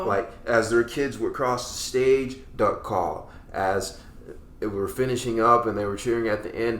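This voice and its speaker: Talking at a fairly slow pace, the speaker has an unremarkable speaking voice and an American accent. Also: man, medium pitch for a man. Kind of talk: casual podcast host talk. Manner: upbeat.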